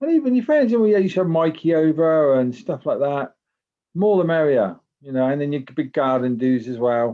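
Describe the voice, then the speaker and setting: The man's fairly high voice moves with lively intonation. He keeps a moderate pace. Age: 60s. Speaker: family member interviewee. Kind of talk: casual chat.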